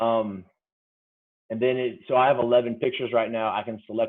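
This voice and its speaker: A man's voice at medium pitch. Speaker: football coach and software trainer. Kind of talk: tutorial. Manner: fast.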